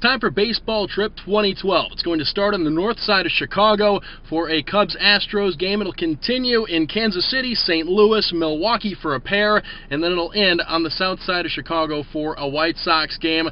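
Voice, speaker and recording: Noticeable background noise sits behind a man with a high-pitched, upbeat voice. He keeps a moderate pace with hardly any pauses and ordinary pitch variation. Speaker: hockey team radio broadcaster. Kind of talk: casual talk to camera, travel vlog. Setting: outdoors at ballparks. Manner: upbeat, conversational.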